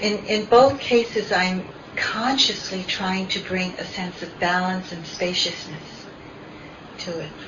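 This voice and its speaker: Amid noticeable background noise, a woman speaks at a fairly slow pace and medium pitch, with ordinary pitch variation and big swings in loudness. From Philippines. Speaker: meditation teacher. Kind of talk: dharma talk. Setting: meditation center with audience.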